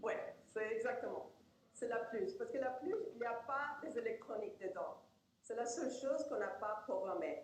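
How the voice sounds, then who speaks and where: The speaker has a Spanish accent, lively intonation and a moderate pace. Loudness is very even, and there is audible room echo. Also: woman, high pitch for a woman. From Argentina. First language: Spanish (speaking French). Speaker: professor and researcher. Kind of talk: lecture. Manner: halting.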